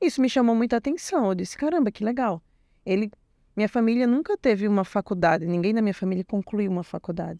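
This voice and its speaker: Speaking very fast with a northeastern Brazilian accent, a woman uses a fairly high pitch and a dark, mellow tone in a very clean recording with a silent background and a dry, close sound with no echo. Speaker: IT technician, former program student. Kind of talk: interview testimony.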